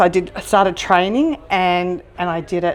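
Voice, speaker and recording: With an Australian accent, a woman speaks at medium pitch with ordinary pitch variation. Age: 60s. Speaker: restaurant owner and trekker. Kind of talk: interview. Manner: halting, many fillers.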